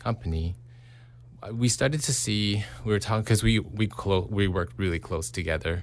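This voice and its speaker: The man's voice has vocal fry and ordinary pitch variation. He speaks at a fairly slow pace. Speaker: renovation company owner. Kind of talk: radio interview. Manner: hesitant, many fillers.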